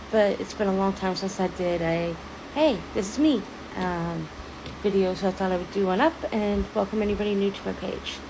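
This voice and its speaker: There is noticeable background noise behind a woman at medium pitch. She talks at a moderate pace with ordinary pitch variation. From Ontario, Canada. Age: 30s. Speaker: social media creator. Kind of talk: casual personal talk to camera. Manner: hesitant, many fillers.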